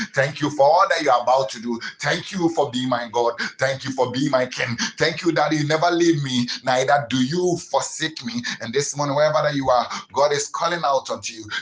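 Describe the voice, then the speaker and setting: Over noticeable background noise, a man talks at a fairly quick pace in a fairly high voice with ordinary pitch variation. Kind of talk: sermon. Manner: repetitive, stammering restarts, earnest exhortation; preacherly declarations with anaphora, steady rhythmic cadence.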